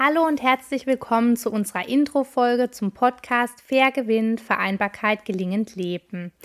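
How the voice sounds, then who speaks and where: With a normal speaking voice, a woman talks at a moderate pace, her fairly high pitch moving in lively intonation on a very clean recording with a silent background. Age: 30s. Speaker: podcast host, family coach. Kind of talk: scripted intro.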